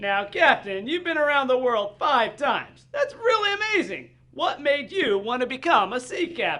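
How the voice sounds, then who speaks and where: A cartoonish character voice speaks at a high pitch with very wide pitch swings. The pace is moderate, with hardly any pauses. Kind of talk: children's puppet show.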